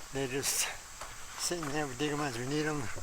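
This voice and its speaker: Relaxed in tone, a man with a fairly high pitch speaks amid audible room echo and noticeable background noise. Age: 80s+. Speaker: home gardener. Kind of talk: casual garden tour vlog. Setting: outdoors in garden. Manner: relaxed, halting with fillers.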